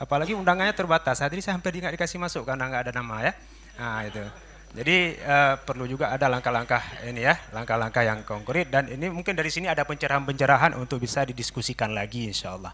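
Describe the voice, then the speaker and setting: Lively in intonation, a man at medium pitch talks at a very fast pace. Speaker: audience member asking a question. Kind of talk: question from the floor at a seminar. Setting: seminar hall.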